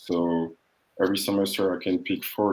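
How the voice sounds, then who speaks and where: In a French accent, a man speaks with a very deep, low pitch. His intonation is monotone and flat, at a moderate pace. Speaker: international student. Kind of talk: interview / panel talk.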